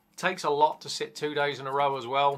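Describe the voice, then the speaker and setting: Faint music plays behind a man as he talks. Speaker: tattoo artist vlogger. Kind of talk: casual vlog chat. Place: home room.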